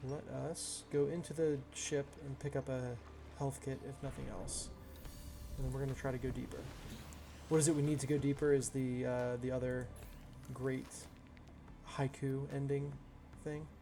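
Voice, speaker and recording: Mumbled speech at a moderate pace in a monotone, flat intonation, broken by long, frequent pauses, with music in the background. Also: man, medium pitch for a man. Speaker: gaming streamer. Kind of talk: casual chat. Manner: mumbling.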